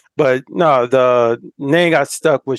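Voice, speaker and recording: A man's plain, everyday voice at medium pitch, with fairly even intonation and a dry, close sound with no echo. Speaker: podcast host. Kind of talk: casual chat. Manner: informal, friendly.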